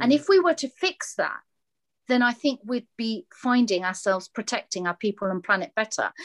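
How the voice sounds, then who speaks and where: Fairly high-pitched woman with a British accent, very wide pitch swings, moderate pace, dry, close sound with no echo. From England, British Bangladeshi family. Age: 50s. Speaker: social enterprise founder. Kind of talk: interview.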